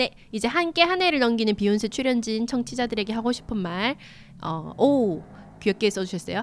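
Woman with lively intonation at a fairly quick pace. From Gyeongsang region, South Korea. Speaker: independent magazine editor. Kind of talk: casual chat.

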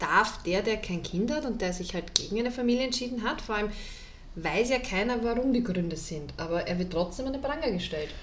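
A woman speaks at a fairly quick pace with lively intonation and a fairly high pitch. Audible room echo surrounds her voice. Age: 30s. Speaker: podcast co-host. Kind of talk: casual chat.

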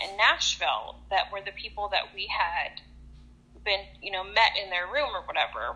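This woman has a medium-pitched, a plain, everyday voice. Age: 30s. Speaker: nurse. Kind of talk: casual chat. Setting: phone call.

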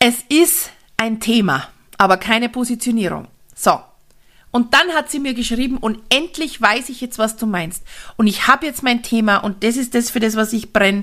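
With a bright, sharp, animated tone, a woman at a fairly high pitch speaks at a moderate pace with ordinary pitch variation. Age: 40s. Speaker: network marketing coach and podcaster. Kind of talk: solo podcast monologue.

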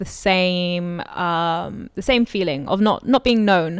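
Recorded very cleanly against a silent background, a woman with a London accent speaks with ordinary pitch variation. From London, England. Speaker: podcast host. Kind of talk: casual interview.

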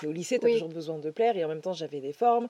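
A woman's fairly low voice carries ordinary pitch variation. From France, Dordogne. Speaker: mindset coach. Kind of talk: casual chat. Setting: outdoors.

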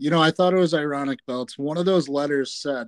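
A man's plain, everyday voice with a fairly high pitch and ordinary pitch variation, in a dry, close sound with no echo. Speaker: sports podcast co-host. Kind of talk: casual sports chat.

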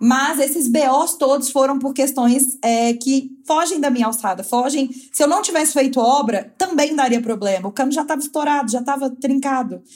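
With hardly any pauses, a woman talks at a moderate pace in a high voice with ordinary pitch variation. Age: 20s. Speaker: fashion designer and influencer. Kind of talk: casual chat. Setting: remote call from home, sitting on floor by modem.

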